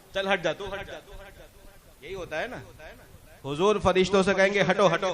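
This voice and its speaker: Big swings in loudness from a man with a high pitch and fairly even intonation, over noticeable background noise. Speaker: Islamic scholar explaining devotional poetry. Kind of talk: religious lecture explaining verses.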